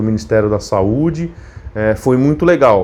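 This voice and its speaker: Over noticeable background noise, a man with a São Paulo accent talks at a fairly slow pace with lively intonation. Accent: paulistano. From São Paulo city, Brazil (partly Monte Alto, interior SP). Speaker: YouTuber, biomedical scientist. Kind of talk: casual vlog chat. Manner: hesitant, many fillers.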